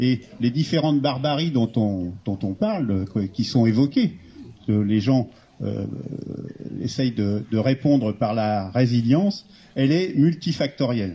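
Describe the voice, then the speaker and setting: Somewhat breathy, a man's medium-pitched voice moves at a very slow pace with long, frequent pauses. His intonation stays lively. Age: 60s. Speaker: retired engineer, civic initiative founder. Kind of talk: public talk at a meeting. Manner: halting.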